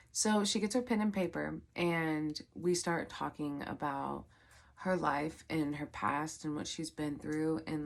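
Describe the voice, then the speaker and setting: On a very clean recording with a silent background, a woman speaks at a very deep, low pitch. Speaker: psychic medium and tarot reader. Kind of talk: casual vlog storytelling. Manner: filler-heavy, many likes and ums.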